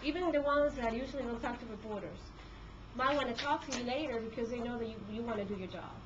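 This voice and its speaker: Amid noticeable background noise and audible room echo, a woman with a high voice speaks at a very fast pace. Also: ordinary pitch variation. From Peru. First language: Spanish. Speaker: court reporter. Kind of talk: talk to a class. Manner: hesitant, many fillers.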